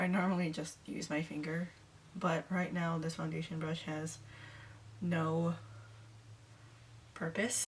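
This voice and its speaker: A woman speaks quietly and somewhat breathily at a fairly low pitch, with ordinary pitch variation. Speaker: beauty vlogger. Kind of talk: makeup tutorial.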